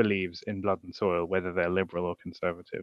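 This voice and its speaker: This is a man speaking with a British accent. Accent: British, noticeable. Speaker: blogger and Twitter commentator. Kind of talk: casual political discussion. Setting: online livestream. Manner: halting, many fillers.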